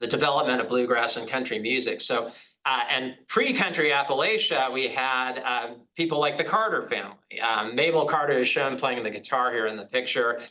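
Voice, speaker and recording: A bright, sharp tone moves at a fairly quick pace through audible room echo. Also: man, medium pitch for a man, ordinary pitch variation. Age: 50s. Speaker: professor. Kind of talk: lecture. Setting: hybrid online seminar. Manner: halting.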